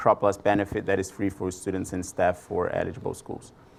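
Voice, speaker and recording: With a strong Brazilian accent, a man speaks at a moderate pace, his fairly low pitch carried in fairly even intonation. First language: Portuguese. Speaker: product marketing manager presenter. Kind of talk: conference presentation. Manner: hesitant, many fillers.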